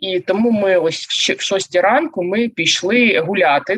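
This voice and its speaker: A woman with an unremarkable speaking voice and ordinary pitch variation. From Zaporizhzhia, Ukraine. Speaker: organizational psychologist and coach. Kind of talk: casual interview chat. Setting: video call.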